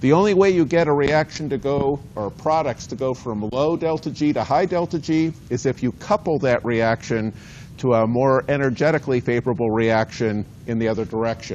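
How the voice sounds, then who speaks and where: A man talks at a fairly quick pace with medium pitch. Noticeable background noise sits behind him. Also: ordinary pitch variation. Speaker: university biology lecturer. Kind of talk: lecture. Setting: lecture hall with students. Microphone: cordless mic battery ran out, no mic.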